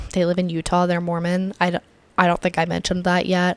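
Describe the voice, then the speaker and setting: The voice belongs to a woman speaking at medium pitch. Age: 20s. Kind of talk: casual talk to camera. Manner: chatty, rambling.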